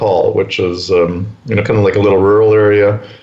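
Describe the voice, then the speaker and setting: Over noticeable background noise and audible room echo, a man speaks at a fairly low pitch. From Canada, Winnipeg. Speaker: real estate entrepreneur. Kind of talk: interview.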